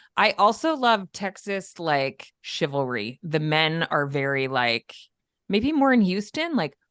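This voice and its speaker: With an upstate New York accent, a woman speaks in a fairly low pitch, her voice making very wide pitch swings. The sound is dry and close, with no echo. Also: fairly slow pace, quiet background. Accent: upstate New York, mild. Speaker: podcast host. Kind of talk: casual interview chat.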